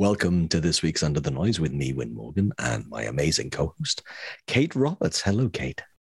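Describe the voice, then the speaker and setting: At a moderate pace, a man with a very deep, low pitch and vocal fry swings his pitch very widely. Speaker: podcast co-host. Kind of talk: casual chat.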